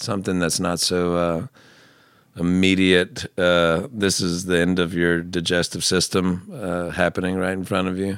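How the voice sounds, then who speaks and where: Man's very deep, low voice in a monotone, flat intonation, on a very clean recording with a silent background. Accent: Southern US. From US South. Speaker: singer-songwriter. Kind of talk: casual chat.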